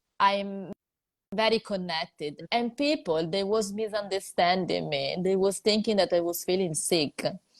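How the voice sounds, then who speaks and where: At a fairly slow pace, a woman with an Italian accent speaks at a medium pitch with ordinary pitch variation, the sound dry and close with no echo. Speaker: psychologist and video host. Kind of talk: interview chat. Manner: hesitant, many fillers.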